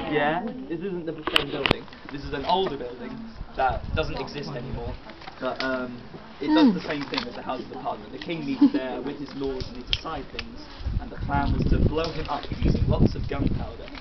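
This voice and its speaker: Fairly quick British-accented speech over background music. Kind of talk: storytelling to a group outdoors. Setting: outdoors. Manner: casual, hesitant.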